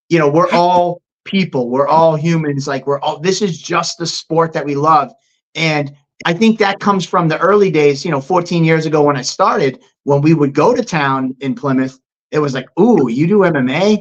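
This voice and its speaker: A man with a Boston accent talks at a moderate pace in a fairly high pitch with ordinary pitch variation. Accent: Boston-area American English. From Massachusetts, US. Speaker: MMA promoter. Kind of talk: casual interview.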